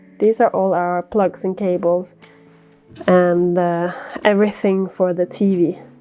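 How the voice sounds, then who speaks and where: Music plays in the background as the voice moves at a very slow pace in a relaxed tone. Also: woman. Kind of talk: casual talk to camera. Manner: relaxed, chatty.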